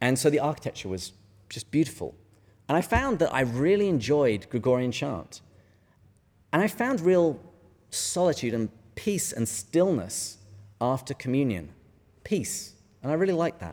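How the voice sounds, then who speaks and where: With an English accent, a man speaks at a moderate pace and a fairly high pitch. His pitch swings very widely, and he takes long, frequent pauses. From England. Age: middle-aged. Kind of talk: lecture. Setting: stage with audience.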